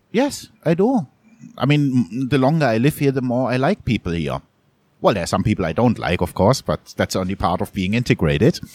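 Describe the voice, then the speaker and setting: In a German accent, a man of medium pitch talks at a fairly quick pace with very wide pitch swings and vocal fry, the recording very clean with a silent background and a dry, close sound with no echo. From Germany, Munich (Bavaria). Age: 40s. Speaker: photojournalist. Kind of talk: interview conversation. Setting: coffee shop.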